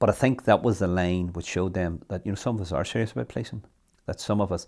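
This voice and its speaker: With a Northern Irish accent, a man speaks at a fairly quick pace in a very deep, low pitch with ordinary pitch variation, on a very clean recording with a silent background. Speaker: local councillor. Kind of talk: interview testimony.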